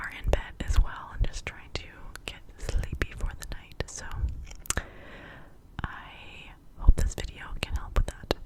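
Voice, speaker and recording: A woman's whisper at a fairly slow pace, with big swings in loudness, long and frequent pauses, and noticeable background noise. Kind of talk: casual talk to camera intro. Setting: quiet bedtime, studio-like close recording. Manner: whispered, close-mic, soft.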